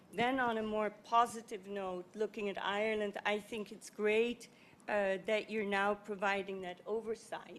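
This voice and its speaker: A woman with a non-native accent reads at a fairly slow pace in a monotone, flat intonation. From Netherlands. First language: not English. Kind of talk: panel discussion. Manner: halting, many fillers.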